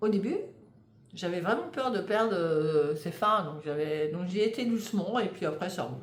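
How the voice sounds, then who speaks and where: At a fairly slow pace, a woman speaks at a medium pitch with lively intonation, with audible room echo. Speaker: knitting podcaster. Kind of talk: casual monologue. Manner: hesitant, many fillers.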